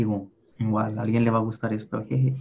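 This man speaks at a medium pitch, and his voice is somewhat breathy. His intonation stays monotone and flat. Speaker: podcast co-host. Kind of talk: casual chat.

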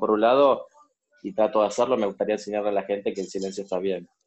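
Very fast delivery with fairly even intonation. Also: man. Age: 30s. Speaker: coaching client. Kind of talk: coaching session. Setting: recorded session. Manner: halting.

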